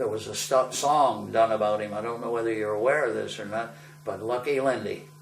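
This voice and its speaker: Noticeable background noise and audible room echo surround the recording. A man with an American accent speaks at a medium pitch with ordinary pitch variation. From western Massachusetts (Ludlow). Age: 80s+. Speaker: war veteran. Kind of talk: oral history interview. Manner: conversational with hesitations.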